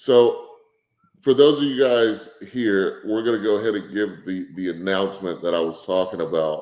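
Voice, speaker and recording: A man with a Texas accent speaks at a fairly low pitch. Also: ordinary pitch variation, moderate pace. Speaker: barbecue business owner and livestream host. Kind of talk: livestream chat reading viewer comments. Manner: casual, laid-back.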